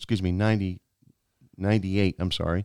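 A man speaks with a fairly low pitch and a Maine accent, his intonation fairly even. The sound is dry and close, with no echo. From Maine, Aroostook County. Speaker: sales executive. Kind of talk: casual interview. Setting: studio.

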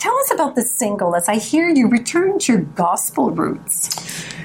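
Upbeat at a moderate pace, a woman speaks at a fairly high pitch over noticeable background noise. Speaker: radio host. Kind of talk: radio dj patter, interview host. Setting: radio studio. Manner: polished, upbeat, announcer-like.

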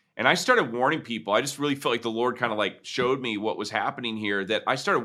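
A man with an American accent talks at a very fast pace, his pitch varying in an ordinary way. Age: 40s. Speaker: pastor and author. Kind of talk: interview.

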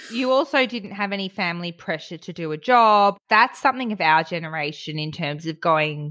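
A woman speaks with an Australian accent, her pitch fairly low for a woman. Her intonation is lively and her pace moderate. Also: hardly any pauses. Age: 30s. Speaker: podcast host. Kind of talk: casual chat.

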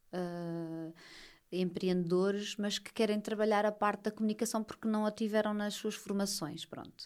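At a moderate pace, a woman with a medium pitch and an unremarkable speaking voice talks with fairly even intonation. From Portugal, Lisbon. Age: 30s. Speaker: social media writing teacher and mother. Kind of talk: casual interview.

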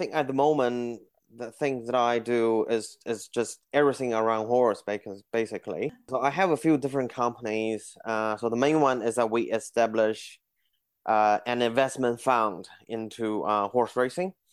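At a moderate pace, a man with a Chinese accent talks with fairly even intonation. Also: medium pitch for a man, very clean recording, silent background. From China, Beijing. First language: Mandarin Chinese. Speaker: horse racing businessman. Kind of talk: interview. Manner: hesitant, many fillers.

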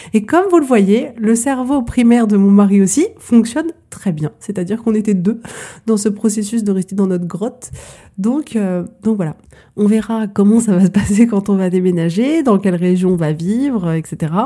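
Her voice is somewhat breathy with a dark, mellow tone, and the woman's pitch varies in an ordinary way. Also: medium pitch for a woman, moderate pace. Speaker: life coach podcast host. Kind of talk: solo coaching talk.

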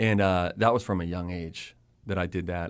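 On a very clean recording with a silent background, a man with a plain, everyday voice and an American accent speaks at a fairly quick pace in fairly even intonation. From Pittsburgh, Pennsylvania. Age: 30s. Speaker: TV and radio host. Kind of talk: casual chat.

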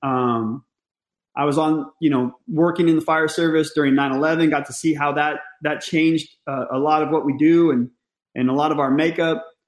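With an American accent, a man has a plain, everyday voice, fairly high in pitch, and speaks at a moderate pace with fairly even intonation. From US West Coast, Northern California. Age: 40s. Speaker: fire service training chief. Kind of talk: casual interview chat.

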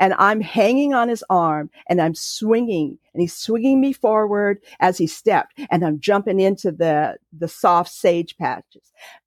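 Medium-pitched female speech in a West Coast US accent, fairly slow with lively intonation, dry and close with no echo. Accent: General American (West Coast). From California. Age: 60s. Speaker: podcast guest sharing family story. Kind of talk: personal testimony.

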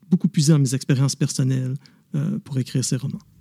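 The voice has a dark, mellow tone and is somewhat breathy, with ordinary pitch variation. The sound is dry and close, with no echo. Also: man. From Quebec, Montreal. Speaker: novelist and former police officer. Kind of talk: interview. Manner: hesitant, many fillers.

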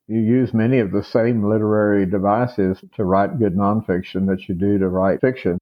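With a Texan accent, this man talks with hardly any pauses, very even loudness and fairly even intonation. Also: fairly low pitch for a man, moderate pace. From Texas, Amarillo. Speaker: author and historian. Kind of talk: interview.

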